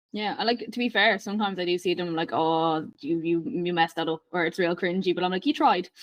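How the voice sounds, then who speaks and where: Talking at a very fast pace with hardly any pauses, a woman uses a fairly low pitch. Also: ordinary pitch variation. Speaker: podcast host, fitness coach. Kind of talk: casual chat.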